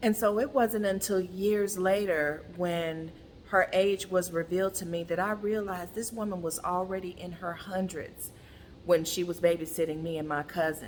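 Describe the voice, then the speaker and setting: A woman speaks at a moderate pace. Her pitch is medium, and her intonation stays fairly even. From US South. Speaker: brand founder and content creator. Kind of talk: monologue to camera. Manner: casual.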